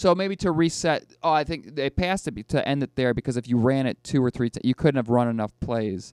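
A man speaks at a fairly quick pace with a Western New York accent. The sound is dry and close with no echo. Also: medium pitch for a man, lively intonation, hardly any pauses. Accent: Western New York (Inland North) American. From Western New York, near Buffalo. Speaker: podcast co-host. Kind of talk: casual chat. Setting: studio.

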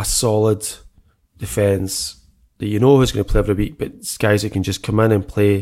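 In a very clean recording with a silent background, a man with a Scottish accent speaks at a moderate pace in a fairly low pitch, his intonation fairly even. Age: 40s. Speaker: football podcast co-host. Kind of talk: casual chat.

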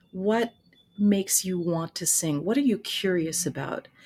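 In an American accent, a somewhat breathy voice with a dark, mellow tone moves at a fairly slow pace with ordinary pitch variation. The recording is very clean, the background silent. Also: woman. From United States. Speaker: voice teacher and author. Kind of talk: interview.

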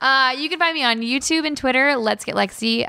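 A woman in a Californian accent, in a very clean recording with a silent background. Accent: Californian American. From Los Angeles, US. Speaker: YouTuber, former games journalist. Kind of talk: casual interview chat.

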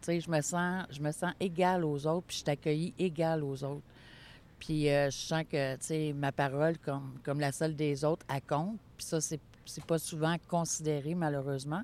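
This woman's voice is very deep and low, with fairly even intonation at a moderate pace. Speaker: board president of a mental health network. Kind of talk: interview.

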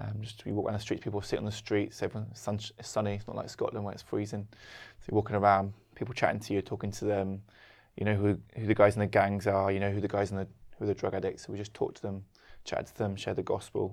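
Speaking very fast in a fairly low, flat monotone with vocal fry, a man swings widely in loudness on a very clean recording with a silent background. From London, England. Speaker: co-pastor. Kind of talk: casual chat.

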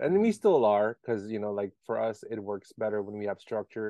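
This man speaks with an American accent at a fairly low pitch. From Maryland (DMV area). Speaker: podcast host. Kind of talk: casual chat.

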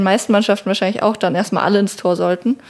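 A woman speaks at a medium pitch. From Palatinate, Germany (Meckenheim). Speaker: field hockey goalkeeper. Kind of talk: casual interview.

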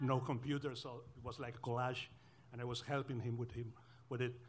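A man with a Spanish accent speaks at a moderate pace in a medium pitch, his somewhat breathy voice monotone and flat. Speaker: novelist. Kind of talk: panel discussion. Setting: stage with audience.

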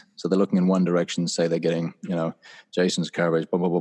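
A man speaks with a very deep, low pitch and a dark, mellow tone. The sound is dry and close, with no echo. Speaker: voice actor. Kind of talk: casual chat. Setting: video call.

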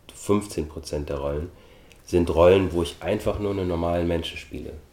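Very deep, low pitch from a man, dark and mellow in tone, pitch varying in an ordinary way. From Austria. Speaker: actor and film producer. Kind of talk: interview.

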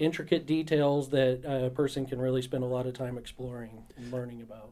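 Noticeable background noise sits behind a man with an American accent and medium pitch. He keeps a monotone, flat intonation at a moderate pace with hardly any pauses. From southwest Kansas, Dodge City. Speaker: state park manager. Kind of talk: radio interview. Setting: radio studio.

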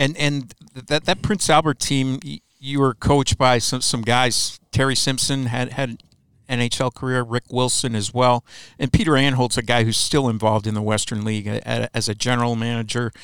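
In an ordinary speaking voice, a man with an American accent talks at a moderate pace and medium pitch with ordinary pitch variation, the sound dry and close with no echo. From US Midwest, Chicago. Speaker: hockey team web show host. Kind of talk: interview.

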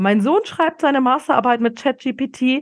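The recording is very clean, with a silent background. The voice belongs to a woman. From Bavaria, small town north of Munich. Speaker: podcast host and retail innovation expert. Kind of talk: solo podcast monologue. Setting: home office. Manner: animated.

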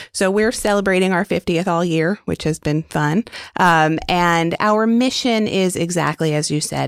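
A woman with an American accent speaks in a plain, everyday voice at a fairly slow pace with ordinary pitch variation, the sound dry and close with no echo. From New York City. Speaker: public broadcasting executive. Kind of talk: interview.

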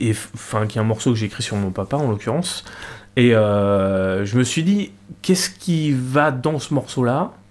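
An ordinary speaking voice from a man, medium in pitch, with lively intonation at a fairly slow pace. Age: 50s. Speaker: guitarist. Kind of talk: casual chat. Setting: home cellar studio.

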